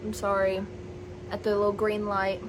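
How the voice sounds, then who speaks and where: Amid audible room echo and noticeable background noise, a woman's words come at a fairly quick pace. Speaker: vlogger and aspiring novelist. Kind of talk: casual vlog chat to camera. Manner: loud.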